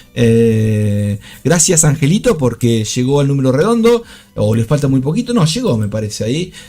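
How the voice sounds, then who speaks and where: With music in the background, a man of medium pitch speaks with lively intonation. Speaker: trading streamer. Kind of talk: live trading commentary. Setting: live stream. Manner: fast.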